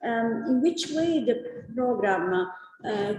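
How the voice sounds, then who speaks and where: A woman with a fairly high voice talks in a space with audible room echo and noticeable background noise. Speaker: nutrition researcher. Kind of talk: conference talk. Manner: halting, many filler sounds.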